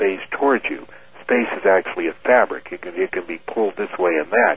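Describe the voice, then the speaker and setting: This man has a fairly low pitch and ordinary pitch variation. It is an unremarkable speaking voice. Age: 50s. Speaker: airline captain and UFO researcher. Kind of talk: radio interview.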